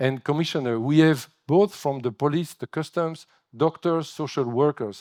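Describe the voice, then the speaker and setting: A man speaks with a French accent at a moderate pace, his tone dark and mellow with ordinary pitch variation. The recording is very clean, with a silent background and a dry, close sound with no echo. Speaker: agency director. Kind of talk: keynote speech. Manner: halting.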